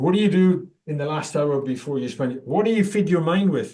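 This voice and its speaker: At a moderate pace, a man with a British accent speaks with lively intonation. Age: 60s. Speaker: coach and mental wellness advocate. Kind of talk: podcast interview.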